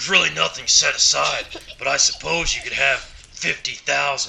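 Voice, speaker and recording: A man uses a raspy, put-on character voice at a moderate pace. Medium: machinima.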